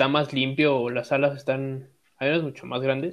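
Fairly high in pitch, a man speaks at a fairly slow pace with monotone, flat intonation. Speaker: podcast co-host. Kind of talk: casual chat.

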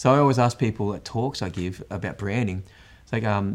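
A man with an Australian accent speaks very fast at a fairly low pitch with ordinary pitch variation, on a very clean recording with a silent background. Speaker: podcast host and branding speaker. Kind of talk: interview.

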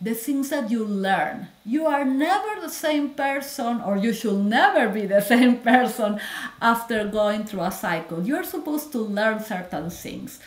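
A woman with a Spanish accent speaks at a fairly slow pace and fairly high pitch, her intonation lively against noticeable background noise. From Peru. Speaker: physician. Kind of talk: interview. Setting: video call.

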